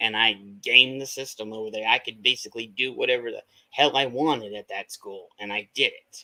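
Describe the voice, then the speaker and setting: Here a man talks at a fairly quick pace with big swings in loudness. His tone is bright and sharp, and the sound is dry and close with no echo. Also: medium pitch for a man. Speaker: livestream host. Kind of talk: casual chat. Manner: animated.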